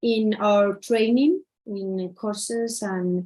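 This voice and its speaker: A woman's fairly high voice with a Spanish accent, ordinary pitch variation, and a very slow pace. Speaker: social educator. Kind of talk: conference talk. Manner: halting, many fillers.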